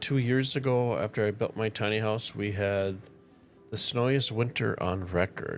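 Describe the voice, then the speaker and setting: A man speaks at a moderate pace in a fairly low pitch with a relaxed tone, ordinary pitch variation and very even loudness, music playing in the background. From northern Minnesota. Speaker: gaming streamer. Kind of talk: casual gameplay commentary with tutorial.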